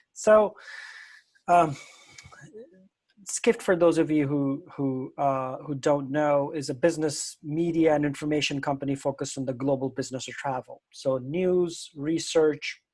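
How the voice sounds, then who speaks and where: A man with a plain, everyday voice, fairly high in pitch, with fairly even intonation and a fairly slow pace. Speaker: media company founder and CEO. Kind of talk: conference talk. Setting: live event with translation.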